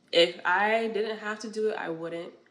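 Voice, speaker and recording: Speaking with an American accent, a woman keeps a moderate pace. Audible room echo is present. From New York. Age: 20s. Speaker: podcast host. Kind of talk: casual monologue, faith-based talk.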